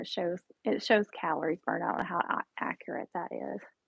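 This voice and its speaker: Speaking at a fairly quick pace, a woman has an unremarkable speaking voice at medium pitch. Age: 40s. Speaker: diet vlogger streaming live. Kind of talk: casual live stream chat answering viewer comments. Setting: live stream at home. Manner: casual, chatty.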